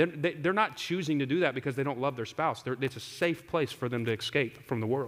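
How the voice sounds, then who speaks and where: Speaking at a fairly quick pace, a man with a medium pitch uses an animated tone. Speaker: pastor. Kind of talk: sermon. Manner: loud; conversational, animated.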